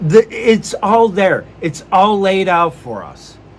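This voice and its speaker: A man speaks in an animated tone with a high-pitched voice. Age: old. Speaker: wrestling podcaster. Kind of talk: casual podcast commentary. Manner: halting with restarts.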